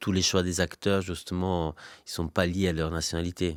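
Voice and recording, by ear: A man speaks at a fairly quick pace in a low pitch, keeping his intonation fairly even.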